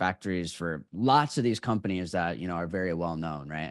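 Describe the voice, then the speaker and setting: A man with an American accent is heard over a quiet background. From northern Illinois, US Midwest (DeKalb, near Chicago). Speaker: sales team owner. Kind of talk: interview. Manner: casual, many filler words.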